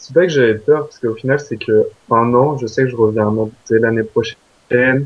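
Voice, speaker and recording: Fairly even intonation and a moderate pace from a man. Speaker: exchange student. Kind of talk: interview. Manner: hesitant, many fillers.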